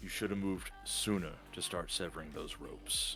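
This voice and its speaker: With music in the background, a man uses a gruff put-on character voice at a very deep, low pitch and a moderate pace. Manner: stern, critical.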